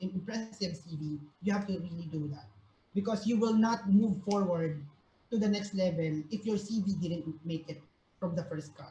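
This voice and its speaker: Speaking at a moderate pace in a Filipino accent, a woman has a dark, mellow tone that is somewhat breathy, with ordinary pitch variation. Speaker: career talk speaker, recruiter. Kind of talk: online workshop talk. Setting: video call. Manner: hesitant, many fillers.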